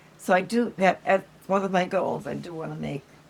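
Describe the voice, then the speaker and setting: Noticeable background noise surrounds a woman talking at a moderate pace. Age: 80s+. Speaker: grandmother. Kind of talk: interview answer. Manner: hesitant, casual.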